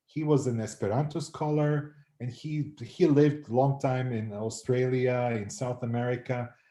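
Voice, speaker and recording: The voice is somewhat breathy, with a dark, mellow tone. Its pitch variation is ordinary. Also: man. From North Macedonia. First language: Macedonian. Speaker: anthropology professor. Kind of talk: interview. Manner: hesitant, many fillers and repeats.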